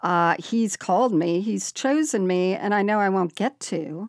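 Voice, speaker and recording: In a very clean recording with a silent background and a dry, close sound with no echo, a woman speaks at a medium pitch. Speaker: podcast host. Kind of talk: casual chat.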